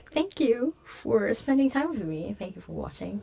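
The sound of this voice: A woman's put-on character voice, fairly high-pitched and hoarse, at a moderate pace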